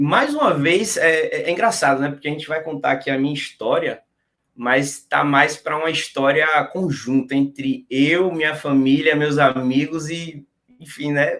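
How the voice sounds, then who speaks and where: A man talks in an ordinary speaking voice at a fairly slow pace. His intonation stays fairly even. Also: fairly high pitch for a man. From Brazil, interior of Bahia. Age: 30s. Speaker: exam-passer interviewee, tax auditor. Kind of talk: casual interview. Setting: live stream.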